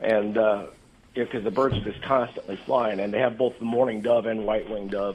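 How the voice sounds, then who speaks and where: This man has an ordinary speaking voice with an American accent, medium pitch and a moderate pace. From eastern Kansas, US Midwest. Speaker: retired Marine and gun-rights group board member. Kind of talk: radio interview.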